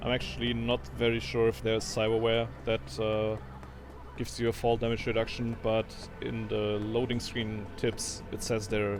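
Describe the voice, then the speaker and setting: Music plays in the background. A man with a medium pitch talks at a moderate pace. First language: not English. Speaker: gaming video creator. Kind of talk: gameplay commentary tutorial. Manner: dry delivery; halting, with fillers.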